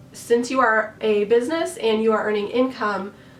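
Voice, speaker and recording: Fairly high pitch from a woman, moderate pace, noticeable background noise, and audible room echo. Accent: American. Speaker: costume designer and YouTuber. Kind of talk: tutorial. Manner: friendly, conversational.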